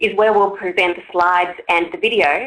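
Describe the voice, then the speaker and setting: A woman speaks with an Australian accent. She keeps a moderate pace. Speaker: online forum moderator. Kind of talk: event introduction. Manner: formal.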